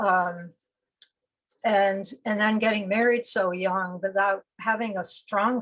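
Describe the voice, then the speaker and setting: Somewhat breathy and fairly slow, a woman speaks at a medium pitch with fairly even intonation. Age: 70s. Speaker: poet. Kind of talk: conversational interview. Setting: video call. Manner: halting.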